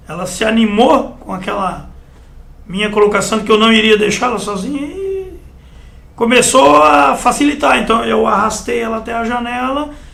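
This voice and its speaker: Amid noticeable background noise and audible room echo, a man with a high pitch talks at a moderate pace with lively intonation. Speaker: firefighter and military veteran. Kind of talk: interview. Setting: TV interview. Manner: narrative, with frequent né tags.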